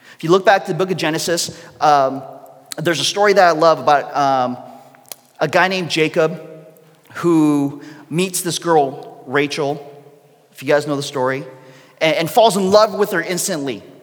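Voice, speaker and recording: The speech goes at a moderate pace with ordinary pitch variation and long, frequent pauses. Noticeable background noise runs underneath. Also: man, fairly high pitch for a man. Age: 30s. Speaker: pastor. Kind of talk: sermon.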